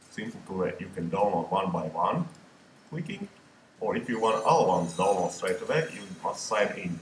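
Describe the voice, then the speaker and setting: A man with a non-native accent at a moderate pace, over noticeable background noise. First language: not English. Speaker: photographer. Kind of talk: screen-recorded software tutorial. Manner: casual, hesitant.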